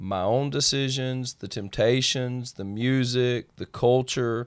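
In a Southern US accent, the speaker goes at a very slow pace on a very clean recording with a silent background. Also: man. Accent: Southern US (Georgia). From small-town Georgia. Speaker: pastor and former gang leader. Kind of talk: testimony.

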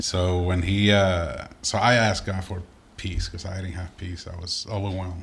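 A man's very deep, low voice in a flat monotone. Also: moderate pace, big swings in loudness. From Puerto Rico. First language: Spanish. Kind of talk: casual interview chat.

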